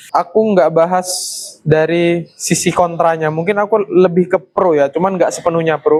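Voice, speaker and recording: Speaking at a moderate pace, a man uses a high pitch and a monotone, flat intonation. His loudness stays very even. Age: 20s. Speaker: vlogger, university student. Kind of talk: monologue vlog to camera. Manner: casual, conversational.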